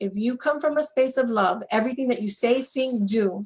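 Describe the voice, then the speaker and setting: A woman's somewhat breathy voice comes through at a moderate pace. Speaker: relationship coach. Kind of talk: live webinar interview. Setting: Facebook Live webinar.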